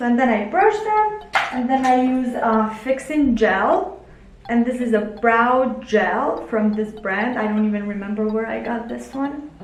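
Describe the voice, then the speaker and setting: Speaking at a fairly slow pace, a woman with a high pitch and ordinary pitch variation is heard over background music, with audible room echo. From Italy (born in Albania). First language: Albanian or Italian. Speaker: beauty vlogger. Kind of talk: makeup tutorial. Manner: casual, halting with fillers.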